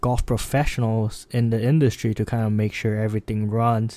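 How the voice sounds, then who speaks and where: The intonation is fairly even. A dark, mellow tone colors the voice. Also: man. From Singapore. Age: 20s. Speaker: podcast host and golf management student. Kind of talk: solo podcast monologue.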